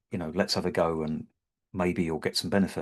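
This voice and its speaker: Against a quiet background, a man with a British accent speaks at a very deep, low pitch with ordinary pitch variation. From Britain. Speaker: havening practitioner. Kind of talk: webinar presentation. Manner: hesitant, with fillers and repeated words.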